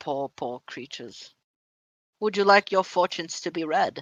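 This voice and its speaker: Cackling in a put-on character voice, a high-pitched man speaks at a moderate pace. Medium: actual play. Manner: slow, musing, cackling.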